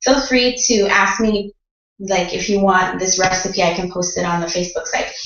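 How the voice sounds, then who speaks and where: A woman talks at a moderate pace with fairly even intonation, and audible room echo follows her words. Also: medium pitch for a woman. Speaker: mom vlogger. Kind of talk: casual tutorial. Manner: casual, chatty.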